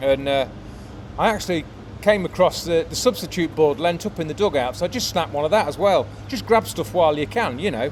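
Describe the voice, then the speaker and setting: A man talks fairly quickly at a fairly high pitch, swinging very widely in pitch, with noticeable background noise behind him. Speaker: sports photographer. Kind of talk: casual vlog talk to camera. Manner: halting, many fillers.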